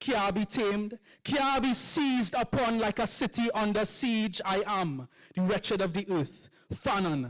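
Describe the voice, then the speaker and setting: A high-pitched man with a Trinidadian accent at a fairly slow pace, music playing in the background. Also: dry, close sound with no echo. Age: young. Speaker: poet. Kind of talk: poetry performance.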